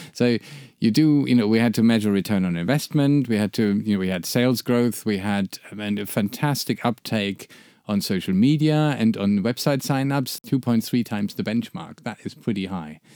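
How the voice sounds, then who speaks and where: A man with a German accent, medium in pitch and dark and mellow in tone, at a moderate pace. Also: ordinary pitch variation. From Germany. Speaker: branding agency founder and podcast co-host. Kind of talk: casual chat. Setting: studio.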